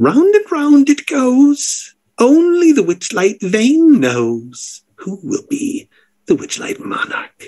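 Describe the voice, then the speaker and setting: A man in a put-on character voice, extremely high in pitch, at a very slow pace. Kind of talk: grand showman announcement. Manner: theatrical, playful.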